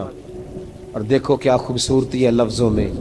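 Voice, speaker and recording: A man is speaking. Music plays in the background. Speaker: Islamic scholar / preacher. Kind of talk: Islamic sermon (bayan) with storytelling. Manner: emotive, preaching, conversational.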